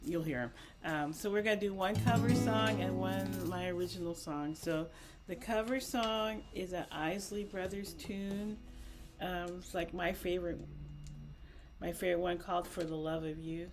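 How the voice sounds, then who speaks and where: A soft-spoken woman talks over music in the background, with audible room echo. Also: moderate pace. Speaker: musician performer. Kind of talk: casual introduction. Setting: video call.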